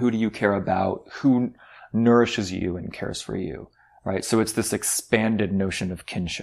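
A man talks at a moderate pace in a normal speaking voice, fairly low in pitch. The recording is very clean, with a silent background. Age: 40s. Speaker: podcast host discussing a book. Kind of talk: casual book discussion.

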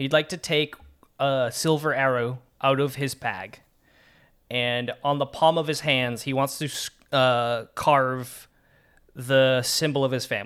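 On a very clean recording with a silent background, a man at medium pitch speaks at a fairly slow pace with fairly even intonation and long, frequent pauses. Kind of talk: in-character role-playing and describing actions, tabletop game.

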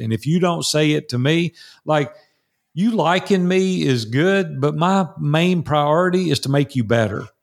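Recorded very cleanly against a silent background, a man with a Tennessee accent talks in a fairly high pitch. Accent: Southern US (Tennessee). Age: 60s. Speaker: entrepreneur and mastermind coach. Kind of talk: interview. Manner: animated.

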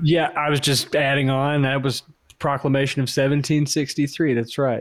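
Speaking at a medium speed, a man has an American accent. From US South, Georgia. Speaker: podcast co-host. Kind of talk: casual chat.

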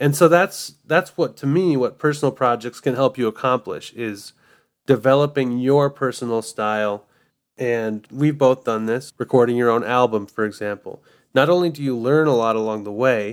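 This man has an ordinary speaking voice at a medium pitch, with ordinary pitch variation, a moderate pace, and a very clean recording over a silent background. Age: 30s. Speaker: podcast host and music arranger. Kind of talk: casual chat.

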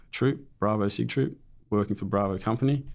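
Speaking with an Australian accent, a man uses a fairly low pitch. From New South Wales, Australia (Raymond Terrace). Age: 30s. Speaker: war veteran. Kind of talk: interview storytelling. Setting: studio.

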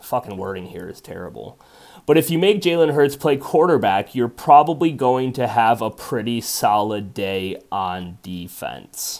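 At a fairly slow pace, a man with a medium-pitched voice swings very widely in pitch and loudness changes greatly, recorded very cleanly against a silent background. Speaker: sports gambling podcast host and Eagles fan. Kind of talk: angry sports rant, profane and venting about rival fans. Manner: loud, worked-up, fired-up and agitated; emotionally charged, anxious, stretches of ranting.

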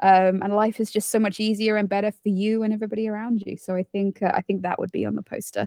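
A woman with a British accent talks at a very fast pace with hardly any pauses, her dark, mellow tone caught in a dry, close sound with no echo. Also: medium pitch for a woman. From United Kingdom. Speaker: zookeeper and podcast host. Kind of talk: casual interview chat. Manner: warm, enthusiastic.

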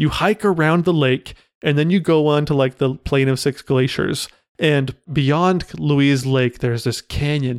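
Speaking at a fairly slow pace, a man has an animated tone in a dry, close sound with no echo. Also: ordinary pitch variation. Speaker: podcast co-host. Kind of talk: casual chat.

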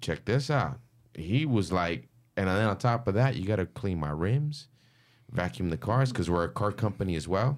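A man talks in a plain, everyday voice at a fairly low pitch and moderate pace, with lively intonation. The recording is very clean, the background silent. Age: 30s. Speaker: graffiti artist. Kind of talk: casual chat.

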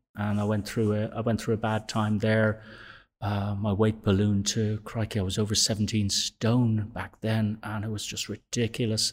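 A man speaks with a Dublin accent at a moderate pace, fairly low in pitch and monotone, with flat intonation. The recording is very clean with a silent background. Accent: Irish (Dublin). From Dublin, Ireland. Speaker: gym member. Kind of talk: interview, life story.

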